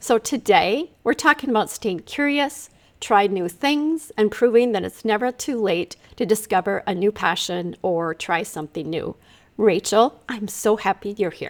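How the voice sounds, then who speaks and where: This is an ordinary speaking voice from a woman, fairly high in pitch with lively intonation. She goes at a fairly slow pace, and the sound is dry and close with no echo. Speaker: podcast host and brain fitness coach. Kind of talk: podcast interview intro.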